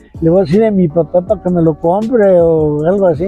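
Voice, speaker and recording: A man talks at a high pitch and moderate pace with ordinary pitch variation. Faint music sits in the background of a dry sound with no echo. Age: 70s. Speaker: yoyo and spinning top performer. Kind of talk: interview answer. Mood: warm, fond. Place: street. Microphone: lapel.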